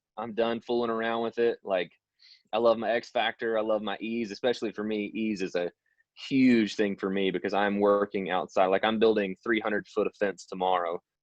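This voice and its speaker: Here is an unremarkable speaking voice from a man. His pitch is fairly low and his pace fairly quick. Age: 20s. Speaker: supplement distributor and outdoor worker. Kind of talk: testimony. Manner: casual, filler-heavy.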